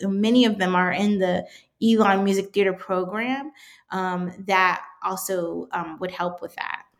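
An unremarkable speaking voice with fairly even intonation, on a very clean recording with a silent background. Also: woman. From Washington DC area. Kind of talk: casual interview chat.

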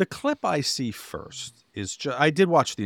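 On a very clean recording with a silent background, a man's voice swings very widely in pitch, with vocal fry and a dry, close sound with no echo. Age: 50s. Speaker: podcast co-host. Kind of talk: casual chat.

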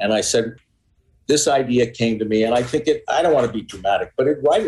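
A man with an American accent, medium pitch, a fairly quick pace and a somewhat breathy voice. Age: 60s. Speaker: author and journalist. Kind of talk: interview. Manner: halting, repeats words.

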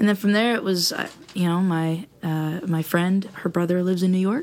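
Speech at a moderate pace with ordinary pitch variation comes over noticeable background noise. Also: woman. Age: 30s. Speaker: singer-songwriter. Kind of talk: casual chat. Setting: studio.

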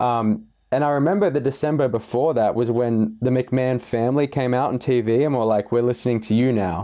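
At a fairly quick pace with hardly any pauses, a man talks in an unremarkable speaking voice at medium pitch, with ordinary pitch variation and very even loudness. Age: young. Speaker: wrestling fan panelist. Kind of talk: casual chat. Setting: remote call.

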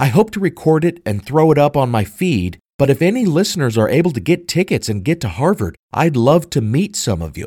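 A man with a fairly high, dark and mellow voice talks at a fairly quick pace. His pitch swings very widely, and vocal fry comes through. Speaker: podcast host and history teacher. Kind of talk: true-crime mystery narration. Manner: formal, scripted and well-enunciated.

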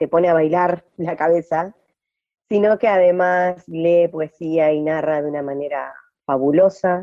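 This woman speaks at a fairly slow pace in a fairly low pitch. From Argentina, Entre Ríos (Gualeguay). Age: 40s. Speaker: poet and activist. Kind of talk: interview. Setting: radio studio. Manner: halting, with many repetitions and fillers.

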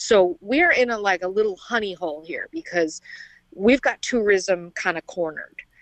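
With a Midwestern American accent and lively intonation, the speech comes across dry and close with no echo. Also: woman, medium pitch for a woman, moderate pace. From Indiana, near Chicago. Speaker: army veteran and small farm owner. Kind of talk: interview.

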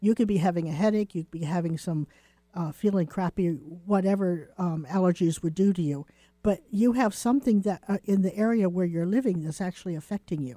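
A woman's dark, mellow voice at a fairly quick pace, ordinary pitch variation, dry, close sound with no echo. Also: medium pitch for a woman. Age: 60s. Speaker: psychic radio co-host. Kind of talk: call-in psychic readings.

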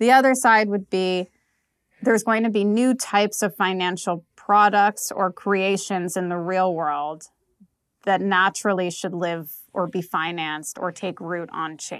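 Over a silent background in a very clean recording, a woman speaks at a fairly slow pace with ordinary pitch variation. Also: medium pitch for a woman. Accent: New York. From US, New York. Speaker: venture capital investor. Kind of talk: interview. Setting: office in Prague, in person.

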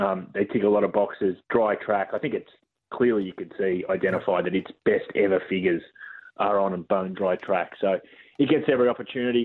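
Speaking with an Australian accent, a man with a fairly low pitch talks at a fairly quick pace and ordinary pitch variation. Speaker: racing analyst. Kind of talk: casual racing chat.

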